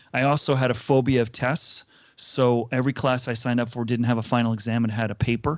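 A man speaks at a very fast pace with an American accent, his pitch medium. His intonation stays monotone and flat against a quiet background. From US Northeast, Connecticut. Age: 50s. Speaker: HR executive and keynote speaker. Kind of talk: interview conversation.

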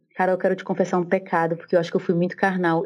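The speech is very fast and delivered in a flat monotone. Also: woman. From Brazil, Recife (Pernambuco). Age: 30s. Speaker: theologian and church history teacher. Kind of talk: casual interview.

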